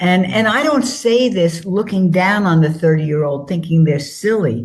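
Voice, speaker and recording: A woman's fairly low, somewhat breathy voice moves through very wide pitch swings. Audible room echo surrounds it. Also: moderate pace, very even loudness. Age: 80s+. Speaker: author. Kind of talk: interview. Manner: forthright and plain spoken.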